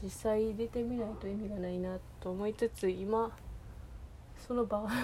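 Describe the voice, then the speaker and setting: A woman's flat monotone in a Kansai accent, with long, frequent pauses. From Kansai region, Japan. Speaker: podcaster. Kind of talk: solo monologue. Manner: halting, many fillers.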